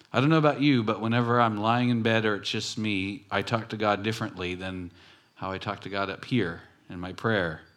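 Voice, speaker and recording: A man with an American accent speaks at a fairly quick pace and a fairly low pitch. His pitch varies in an ordinary way, and there is audible room echo. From Southern California, Long Beach. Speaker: pastor. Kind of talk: sermon. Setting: church.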